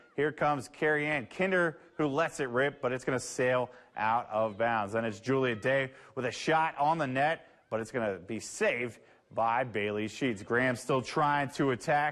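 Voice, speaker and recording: This man's voice has an energetic tone at a medium pitch with ordinary pitch variation. The recording is very clean, with a silent background. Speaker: sports anchor and reporter. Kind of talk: play-by-play highlight voiceover. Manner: fast, energetic.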